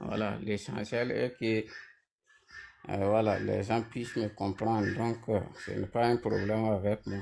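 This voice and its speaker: Using a very slow pace with long, frequent pauses, a man with a non-native accent talks in a fairly low pitch and fairly even intonation. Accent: non-native French, noticeable. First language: Mooré (speaking French). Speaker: panel debate participant. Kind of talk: online panel debate.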